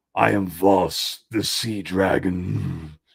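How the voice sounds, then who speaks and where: A man puts on a character voice. It is raspy and very deep, with a low pitch. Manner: evil, greedy.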